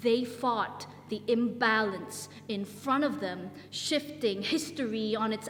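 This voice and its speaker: Noticeable background noise sits under speech that unfolds at a very slow pace. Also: woman. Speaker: spoken word poet. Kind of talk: spoken word poetry performance. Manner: rhythmic.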